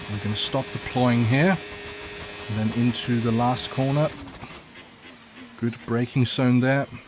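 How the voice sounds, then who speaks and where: Speaking at a fairly slow pace, a man with a medium pitch leaves long, frequent pauses and keeps his intonation fairly even. Noticeable background noise runs underneath. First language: not English. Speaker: sim racing streamer. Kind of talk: live gameplay commentary. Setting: livestream reading chat. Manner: casual, hesitant with fillers.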